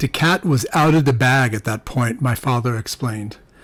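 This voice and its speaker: A man talks in a normal speaking voice at a medium pitch. His pace is moderate, with ordinary pitch variation. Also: dry, close sound with no echo. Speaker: audiobook narrator. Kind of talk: audiobook narration, first-person crime fiction.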